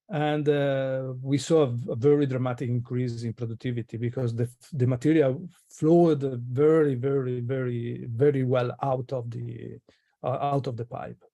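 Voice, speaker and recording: At a moderate pace, a man with a non-native accent and a dark, mellow tone talks at a medium pitch with fairly even intonation. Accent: foreign. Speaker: guest presenter, materials engineer. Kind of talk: webinar Q&A answer. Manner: halting, many fillers and false starts.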